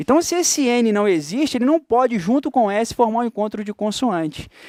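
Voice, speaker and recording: A man with a Carioca accent talks fairly quickly in a high voice. His pitch swings very widely, and the sound is dry and close with no echo. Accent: carioca Brazilian Portuguese. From Rio de Janeiro, Brazil. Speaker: teacher. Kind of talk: lecture. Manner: animated.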